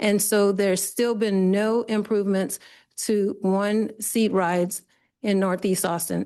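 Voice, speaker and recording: In a quiet background, a woman of medium pitch speaks at a fairly slow pace with very even loudness. Her tone is dark and mellow, her intonation monotone and flat. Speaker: public commenter. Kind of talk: public comment with slides. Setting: committee meeting boardroom.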